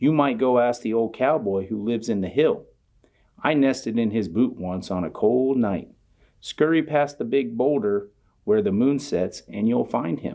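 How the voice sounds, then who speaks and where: Putting on a character voice, a man speaks at a medium pitch and moderate pace with ordinary pitch variation and audible hissing. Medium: read story. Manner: snappish, hissing.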